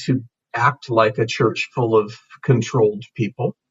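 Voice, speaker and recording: Somewhat breathy and medium in pitch, a man speaks at a fairly slow pace. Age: 60s. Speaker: pastor. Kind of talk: interview. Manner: halting.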